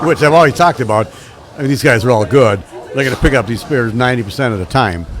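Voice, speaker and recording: A man talks very fast at a medium pitch with lively intonation. Background noise is clearly noticeable. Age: 60s. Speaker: bowling commentator. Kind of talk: live commentary. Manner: casual, conversational.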